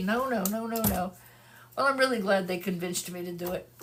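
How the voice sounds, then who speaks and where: A woman speaks with lively intonation at a moderate pace. Noticeable background noise runs behind her. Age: 60s. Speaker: e-scrap recycler, channel host. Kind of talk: live stream teardown chat. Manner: casual, hesitant with fillers.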